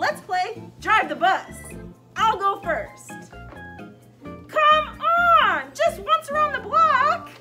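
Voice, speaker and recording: A cartoonish character voice at a very slow pace, with long, frequent pauses and clear music in the background. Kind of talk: children's puppet show. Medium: puppet show. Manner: wheedling, whiny, growing frantic.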